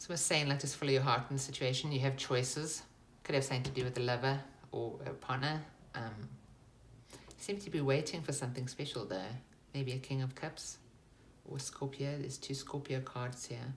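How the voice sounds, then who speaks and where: A woman with a very deep, low pitch and a somewhat breathy voice talks at a fairly quick pace with fairly even intonation. Long, frequent pauses break her speech amid audible room echo. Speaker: tarot reader. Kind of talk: tarot reading.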